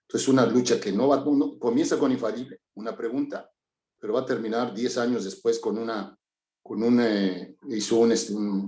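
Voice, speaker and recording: His voice has a dark, mellow tone at a medium pitch. The man keeps his intonation fairly even. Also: moderate pace. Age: 60s. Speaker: course participant. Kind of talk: group discussion.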